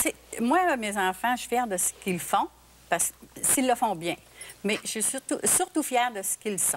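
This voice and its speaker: Here a woman speaks at a fairly slow pace. Her fairly high pitch moves with lively intonation. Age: 60s. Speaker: singer's mother. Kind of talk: TV talk show interview. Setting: TV studio.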